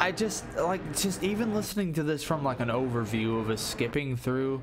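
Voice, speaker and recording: Lively intonation marks a man's medium-pitched voice at a moderate pace. Noticeable background noise and audible room echo are present. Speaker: music reviewer streamer. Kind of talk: live stream music review. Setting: live stream, late night. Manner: halting, repetitive.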